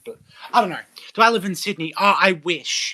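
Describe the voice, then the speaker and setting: The speaker talks at a fairly quick pace in an Australian accent. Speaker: live streamer. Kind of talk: casual chat.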